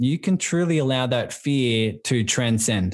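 With a warm, enthusiastic tone, a man in an Australian accent speaks at medium pitch with ordinary pitch variation on a very clean recording with a silent background. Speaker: business and life coach. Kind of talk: casual interview.

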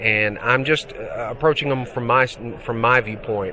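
With a Mississippi accent, a man talks at a moderate pace. Background noise is noticeable. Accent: Southern US (Mississippi). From US South, Mississippi. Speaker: digital artist. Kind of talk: interview. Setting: trade show.

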